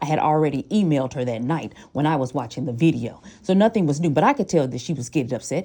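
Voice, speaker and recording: A woman speaks at a very fast pace in a very deep, low pitch, with a dark, mellow tone and very wide pitch swings. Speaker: parent. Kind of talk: heated debate. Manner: forceful.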